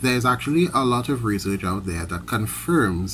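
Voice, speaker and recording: Vocal fry runs through a man's speech as his pitch swings very widely at a moderate pace. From Trinidad and Tobago. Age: 30s. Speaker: credit union worker. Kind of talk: prepared speech. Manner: formal.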